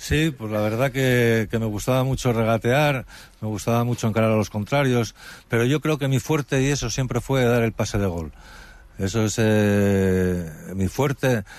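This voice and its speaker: A plain, everyday voice from a man, medium in pitch, ordinary in pitch variation, moderate in pace. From Spain, Asturias (Gijón area). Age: 50s. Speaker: retired footballer and author. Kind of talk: interview.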